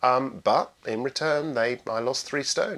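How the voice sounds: At a moderate pace, the voice shows ordinary pitch variation and a fairly bright tone. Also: man.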